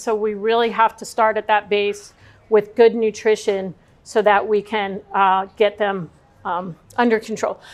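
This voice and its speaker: Her voice is fairly high and her intonation monotone and flat. The woman talks at a moderate pace. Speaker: speaker on pet nutrition. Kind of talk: talk to an audience. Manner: many fillers (um, uh).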